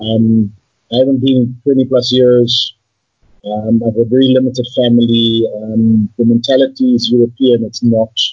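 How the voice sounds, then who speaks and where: Fairly slow, somewhat breathy speech with monotone, flat intonation and very even loudness. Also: man, medium pitch for a man. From South Africa, Johannesburg. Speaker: guest sharing his life story. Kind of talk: casual interview. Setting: video call. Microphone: poor Skype sound quality.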